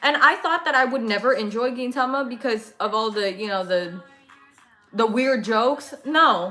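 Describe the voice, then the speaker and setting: A woman's fairly high voice with an American accent, lively intonation and a moderate pace, music in the background. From California. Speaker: anime livestreamer. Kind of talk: casual chat. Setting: livestream.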